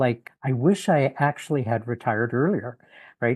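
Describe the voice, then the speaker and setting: Over a quiet background, a man with a Canadian accent talks at a medium pitch with ordinary pitch variation. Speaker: retired in-house lawyer. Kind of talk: podcast interview. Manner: halting, many fillers.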